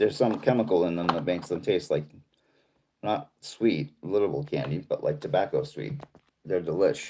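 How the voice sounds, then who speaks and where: With an American accent, a man talks at a moderate pace in a fairly low pitch, his dark, mellow tone sweeping through very wide pitch swings. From Boston. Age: 50s. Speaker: live streamer. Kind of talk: casual chat. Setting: livestream reading chat.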